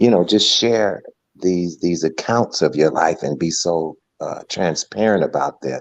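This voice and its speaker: Very deep and low, this man's voice moves at a fairly slow pace. His pitch varies in an ordinary way. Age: 60s. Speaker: interviewer. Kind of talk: conversational interview.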